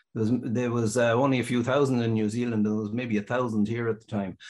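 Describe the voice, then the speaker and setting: A man with a western Irish accent speaks at a medium pitch over a quiet background. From Ireland, County Mayo. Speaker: sheep dairy farmer and business owner. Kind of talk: interview.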